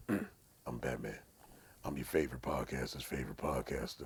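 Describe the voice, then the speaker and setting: A man puts on a character voice that is gravelly and growling, with a very deep, low pitch. He speaks at a moderate pace. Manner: gruff, deadpan.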